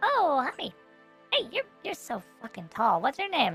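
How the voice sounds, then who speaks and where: Over clear music in the background, a put-on character voice with a high pitch and very wide pitch swings moves at a fairly slow pace. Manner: bright, cheerful.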